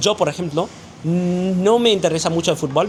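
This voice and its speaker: Fairly quick speech from a man is heard with noticeable noise in the background. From Vietnam. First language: Vietnamese (speaking Spanish). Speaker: interview guest. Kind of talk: casual interview. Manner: halting, many fillers and restarts.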